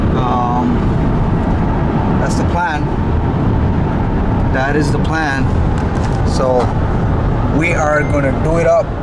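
A man at a very slow pace with long, frequent pauses, over loud background noise. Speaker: travel vlogger. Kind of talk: casual vlog chat. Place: car. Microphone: phone near.

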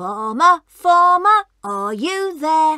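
Quiet background behind an unforced reading voice.

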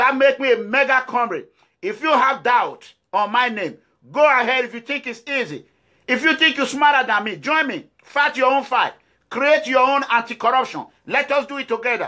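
With a Nigerian accent, a man speaks in an extremely high pitch and a raised, projected voice, bright, sharp and animated in tone, with ordinary pitch variation at a moderate pace over a quiet background. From Nigeria, Edo State. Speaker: political activist. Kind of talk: political address to viewers. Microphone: phone near.

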